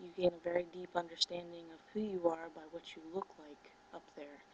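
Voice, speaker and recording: Soft-spoken and monotone, a woman talks with a fairly low pitch and flat intonation. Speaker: spiritual teacher and video blogger. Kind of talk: casual monologue to camera. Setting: at home, 4 a.m. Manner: soft-spoken, low volume; hesitant with many fillers.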